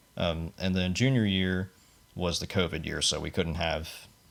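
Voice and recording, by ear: A man speaks fairly slowly in a low voice with vocal fry and fairly even intonation.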